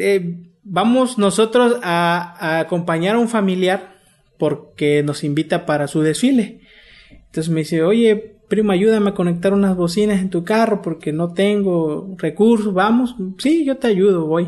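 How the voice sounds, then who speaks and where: The voice moves at a fairly slow pace with ordinary pitch variation. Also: man, high pitch for a man. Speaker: community media producer. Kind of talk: interview.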